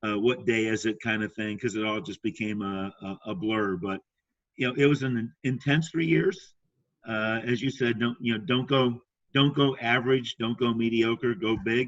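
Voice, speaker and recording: At a moderate pace, a man speaks in an ordinary speaking voice, with a medium pitch and ordinary pitch variation. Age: 60s. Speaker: sales trainer and speaker. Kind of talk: casual chat. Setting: podcast interview.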